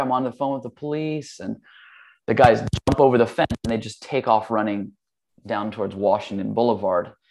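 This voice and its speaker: An unremarkable speaking voice at a fairly quick pace, with a quiet background. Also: man. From Hawaii and California. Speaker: yoga teacher and studio owner. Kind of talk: casual interview chat.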